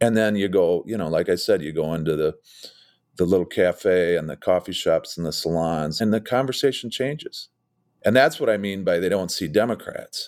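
A man with a normal speaking voice and a fairly low pitch talks at a moderate pace with ordinary pitch variation, on a very clean recording with a silent background. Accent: American. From Minnesota, rural. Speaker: political campaign strategist. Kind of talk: interview.

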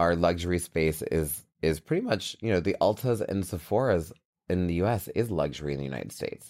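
A man speaks at a fairly quick pace in a very deep, low voice. The recording is very clean, with a silent background. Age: 40s. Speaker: beauty brand founder and CEO. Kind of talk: interview. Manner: animated.

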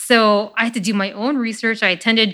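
A woman with an American accent speaks in a bright, sharp tone. The recording is very clean, with a silent background. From Chicago, US Midwest. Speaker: biotech startup CEO. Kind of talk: interview conversation.

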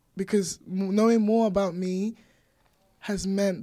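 A dark, mellow tone in a monotone, flat delivery. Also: woman. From Nigeria. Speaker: poet and singer. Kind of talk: interview conversation. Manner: hesitant, many fillers.

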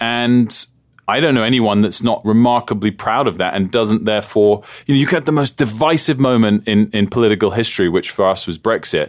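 A man speaks with a British accent at a medium pitch. His pace is fairly quick, and his pitch varies in an ordinary way. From England. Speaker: TV journalist and broadcaster. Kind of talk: interview conversation.

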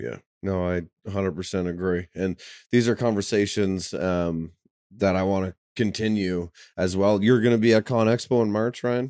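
Heard in a dry, close sound with no echo, a man talks at a moderate pace with a fairly low pitch and ordinary pitch variation. He has an unremarkable speaking voice, and the recording is very clean with a silent background. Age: 20s. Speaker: podcast host and contractor. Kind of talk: casual chat.

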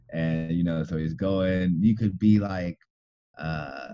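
His voice very deep and low, a man talks in a dark, mellow tone. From Southern California, inland Los Angeles area. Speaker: architect. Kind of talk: interview. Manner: halting, many fillers and restarts.

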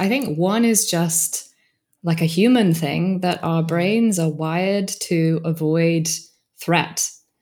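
A woman with a British accent talks at a fairly low pitch with ordinary pitch variation. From Britain. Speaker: organizational coach and author. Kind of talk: interview conversation.

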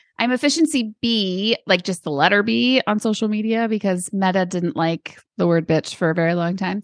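A woman's plain, everyday voice with an American accent, lively intonation, a moderate pace and hardly any pauses, in a dry, close sound with no echo. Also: medium pitch for a woman. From Arizona. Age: 40s. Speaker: author and business owner. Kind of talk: interview.

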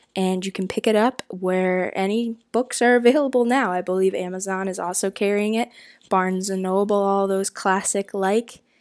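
Speaking at a moderate pace, a woman uses an ordinary speaking voice with medium pitch and fairly even intonation. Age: 20s. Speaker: podcast host. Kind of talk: scripted intro and outro; interview. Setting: home recording.

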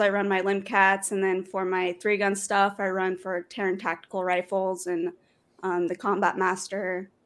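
A woman at a moderate pace, her pitch medium, in an unremarkable speaking voice. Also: very clean recording, silent background. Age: 20s. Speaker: professional sport shooter and firearms instructor. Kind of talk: casual interview.

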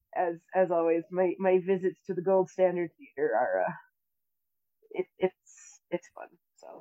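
A woman with an American accent speaks at a fairly slow pace, leaving long, frequent pauses. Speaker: podcast co-host. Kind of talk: casual chat.

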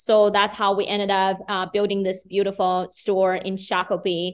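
With a Chinese accent, a woman speaks in a monotone, flat intonation at a moderate pace against a quiet background. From China, Beijing. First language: Mandarin Chinese. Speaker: business owner. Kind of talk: interview.

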